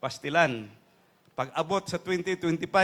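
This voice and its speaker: Talking at a very slow pace, a man uses a fairly high pitch with ordinary pitch variation. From Davao, Philippines. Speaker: politician candidate for congress. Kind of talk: rally speech, campaign stump address to a neighborhood crowd. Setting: outdoor stage rally with a crowd.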